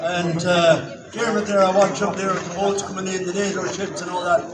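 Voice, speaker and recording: A man with an Irish accent talks at a moderate pace in a high pitch. Room echo is audible and background noise is noticeable. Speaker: local councillor. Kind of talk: rally speech. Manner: halting.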